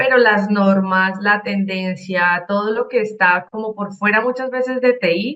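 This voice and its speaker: A woman talks with a Cali accent. Her pitch is fairly high, with ordinary variation. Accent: Colombian, Cali (caleño). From Colombia, Cali. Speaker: IT auditor and consultant. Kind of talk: conference talk.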